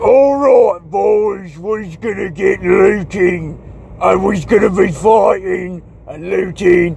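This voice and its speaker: A man shouting in a high-pitched, put-on character voice at a very slow pace, with clear background noise. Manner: gruff, rallying.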